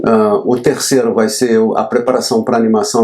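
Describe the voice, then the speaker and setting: Medium male pitch and a dark, mellow tone from a man. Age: 60s. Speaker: graphic designer. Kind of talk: tutorial. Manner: casual, slightly halting.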